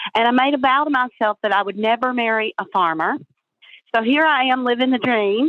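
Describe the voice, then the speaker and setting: A woman with an American accent talks at a fairly quick pace in a high pitch. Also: ordinary pitch variation. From North Carolina. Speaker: blueberry farmer. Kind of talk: interview.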